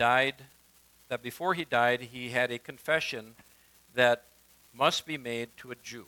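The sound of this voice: An unforced reading voice comes through here.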